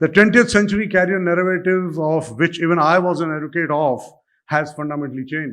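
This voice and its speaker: A man's high voice with lively intonation. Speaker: bank chief executive, keynote speaker. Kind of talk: keynote speech. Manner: fast.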